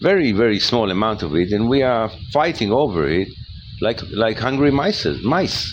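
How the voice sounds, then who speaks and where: Over noticeable background noise, a man with a non-native accent speaks with very wide pitch swings. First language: not English. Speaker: spiritual lecturer. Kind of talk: monologue talk. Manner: halting, with many repetitions.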